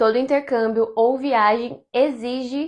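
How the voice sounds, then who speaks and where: Someone with a Brazilian accent speaks at a very slow pace with ordinary pitch variation. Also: woman. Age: 20s. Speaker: travel content creator. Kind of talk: casual talk to camera.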